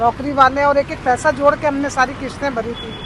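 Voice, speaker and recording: Crowd noise fills the background as the voice moves in fairly even intonation. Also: woman. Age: 60s. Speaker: widowed protester. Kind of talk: interview testimony.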